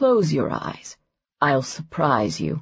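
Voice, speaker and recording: A put-on character voice, raspy, with a low-to-middle pitch. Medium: read story. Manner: smooth, self-satisfied.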